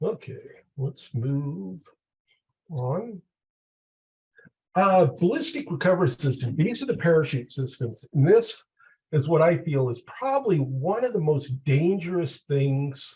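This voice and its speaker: Long, frequent pauses break up a man's fairly high-pitched speech, his intonation lively. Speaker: mountain rescuer and aircraft rescue trainer. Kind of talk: training webinar presentation. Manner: many filler uhs.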